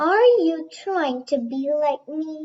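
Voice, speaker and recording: Using a put-on character voice, a woman talks with a high pitch. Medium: read story.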